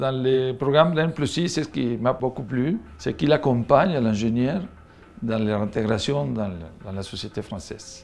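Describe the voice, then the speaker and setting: Against music in the background, a man of medium pitch speaks at a moderate pace with lively intonation. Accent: Spanish. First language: Spanish (speaking French). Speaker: engineer. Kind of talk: interview testimony.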